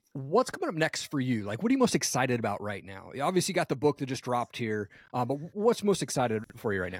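A man of medium pitch at a very fast pace, with very wide pitch swings and hardly any pauses, on a very clean recording with a silent background. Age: 40s. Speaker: podcast host. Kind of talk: interview. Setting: podcast.

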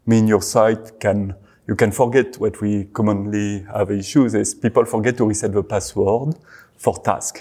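On a very clean recording with a silent background, a man speaks at a moderate pace with a fairly low pitch, a dark, mellow tone and fairly even intonation. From France. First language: French. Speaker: search engine web crawling team lead. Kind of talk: interview.

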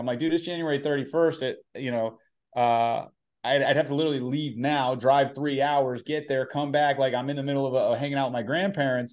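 A man with an American accent and an unremarkable speaking voice, fairly high in pitch, fairly even in intonation, and fairly quick in pace, over a quiet background. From California. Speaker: real estate professional. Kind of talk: interview.

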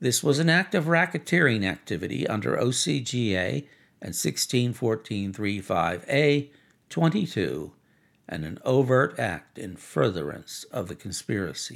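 A man's medium-pitched voice with vocal fry and very wide pitch swings, at a moderate pace, on a very clean recording with a silent background. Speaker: podcast narrator. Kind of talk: formal legal reading aloud of an indictment. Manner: formal.

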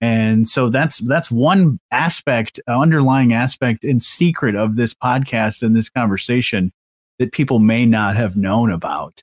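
In an American accent, a man talks fairly slowly at medium pitch with ordinary pitch variation. It is an ordinary speaking voice, with a dry, close sound with no echo. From Southwest Michigan. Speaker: podcast host. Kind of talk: casual interview chat.

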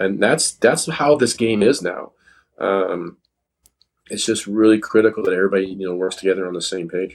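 An ordinary speaking voice with a Canadian accent moves at a moderate pace with ordinary pitch variation. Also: man, fairly low pitch for a man. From Canada. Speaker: chiropractor and golf fitness trainer. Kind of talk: interview.

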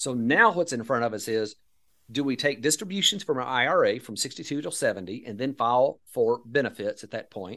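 A man with an American accent at medium pitch, bright and sharp in tone, lively in intonation, with big swings in loudness, on a very clean recording over a silent background. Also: fairly quick pace. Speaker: financial advisor and Social Security educator. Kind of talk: casual interview.

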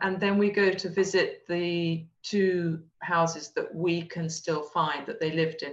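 Speaking with an English accent, the voice keeps a fairly even intonation. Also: woman. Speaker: descendant of a historical figure. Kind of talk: interview.

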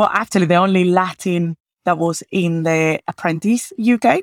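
Over a very clean recording with a silent background and a dry, close sound with no echo, a woman with a Venezuelan accent speaks at a fairly low pitch and fairly slow pace. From Venezuela, Caracas. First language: Spanish. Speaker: agile delivery lead in tech, podcaster. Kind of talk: casual interview conversation.

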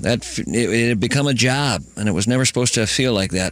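With an American accent, a man talks at a moderate pace and medium pitch, ordinary pitch variation, and an ordinary speaking voice. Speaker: radio personality. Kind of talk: interview. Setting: studio.

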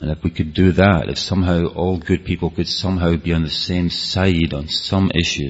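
A man's very deep, low voice in a Scottish accent, fairly even in intonation, over noticeable background noise. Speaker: speaker on rave culture. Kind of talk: talk to an audience. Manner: fast.

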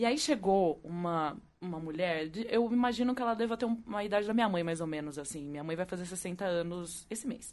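Against a quiet background, a woman with an unremarkable speaking voice talks at a fairly quick pace and medium pitch, with lively intonation and hardly any pauses. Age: 30s. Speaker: podcast co-host. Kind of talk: casual chat.

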